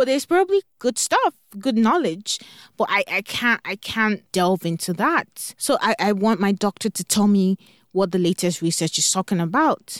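Lively intonation marks a woman of medium pitch talking at a moderate pace in a very clean recording with a silent background. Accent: Nigerian. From Nigeria. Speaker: parent coach podcast host. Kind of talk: solo podcast monologue. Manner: enthusiastic.

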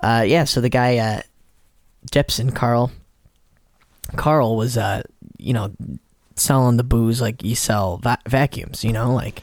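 Speaking with an American accent, a man at medium pitch moves at a fairly slow pace with fairly even intonation and long, frequent pauses. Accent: Chicago accent, masked in LA. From Chicago area. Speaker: podcast co-host, musician. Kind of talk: casual chat over drinks.

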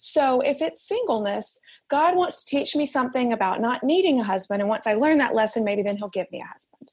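A woman talks with a Southern US accent and lively intonation. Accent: Southern US, noticeable. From Alabama. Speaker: author and editor. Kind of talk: interview conversation.

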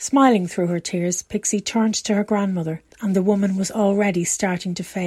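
Intonation stays fairly even in this plain reading aloud.

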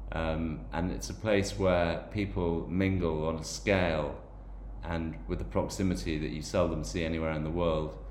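A man speaks in a very deep, low pitch. Audible room echo can be heard. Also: lively intonation, moderate pace. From Ireland/England (Irish and English background). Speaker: podcast host. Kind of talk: personal monologue podcast. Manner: hesitant with frequent fillers and repetitions.

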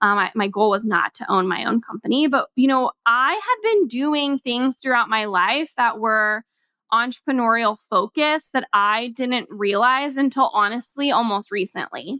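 Speaking at a moderate pace with hardly any pauses, a woman with an American accent has a high pitch and ordinary pitch variation, recorded with a dry, close sound and no echo. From Kansas. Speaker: podcast host and entrepreneur. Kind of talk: casual solo podcast talk. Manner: casual, filler-heavy.

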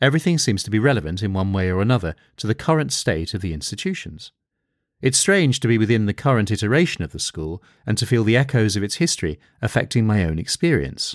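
Very wide pitch swings and a very fast pace come through on a very clean recording with a silent background. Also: man, fairly low pitch for a man. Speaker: podcast host and drama teacher. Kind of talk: solo podcast monologue, reading a listener letter. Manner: hesitant, repeats words, many fillers.

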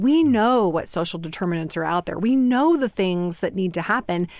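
A plain, everyday voice with an American accent, moderate pace and lively intonation. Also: woman. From Northeast Indiana. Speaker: hospital administrator. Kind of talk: interview.

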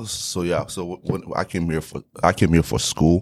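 A man speaks with a Haitian accent. His intonation stays fairly even. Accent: Haitian Creole-accented English. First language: Haitian Creole. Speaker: real estate investor. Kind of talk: interview.

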